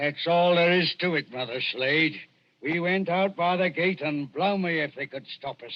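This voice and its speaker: A gruff, put-on character voice at a moderate pace. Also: man, high pitch for a man. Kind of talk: 1940s radio acting. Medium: old radio play. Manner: gruff, coarse slang.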